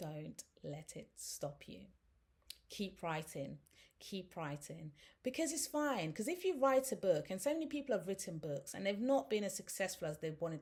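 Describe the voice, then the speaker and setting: A woman talks at a moderate pace in an animated tone, her medium pitch making very wide swings. Her voice is somewhat breathy, and her loudness swings a lot. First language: not English. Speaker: author and self-help youtuber. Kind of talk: motivational tutorial.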